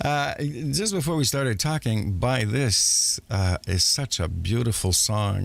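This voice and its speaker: Speaking at a fairly slow pace, a man with a French accent uses a medium pitch and lively intonation. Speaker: radio show host. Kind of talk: interview.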